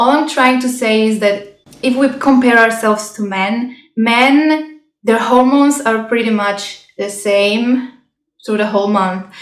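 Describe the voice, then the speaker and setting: Audible room echo surrounds a woman with a non-native accent who speaks fairly slowly at a fairly high pitch, her intonation fairly even. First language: not English. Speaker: health and self-growth vlogger. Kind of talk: casual vlog talk. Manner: halting.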